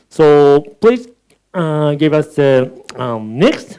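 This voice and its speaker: Speech in a Japanese accent comes at a very slow pace, with lively intonation. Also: man. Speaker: moderator. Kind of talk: moderating a panel talk.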